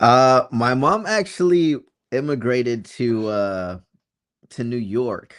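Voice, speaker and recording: A man with a slight Massachusetts accent, medium pitch and lively intonation, at a very slow pace, in a very clean recording with a silent background. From Florida (born in Massachusetts, moved at about seven). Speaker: videographer and editor. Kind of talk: casual chat. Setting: livestream.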